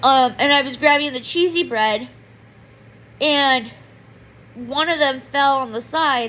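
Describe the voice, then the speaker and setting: Raising and projecting her voice, a woman speaks at a very slow pace with a high pitch, ordinary pitch variation, and a bright, sharp tone. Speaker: vlogger. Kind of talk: personal diary vlog. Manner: loud; emotional, rambling.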